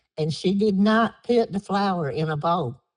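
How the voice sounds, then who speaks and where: A woman with an American accent speaks at a very slow pace. Her voice is somewhat breathy, with a dry, close sound and no echo. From Down East North Carolina, Harkers Island area. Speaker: oral history interviewee. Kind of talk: oral history interview.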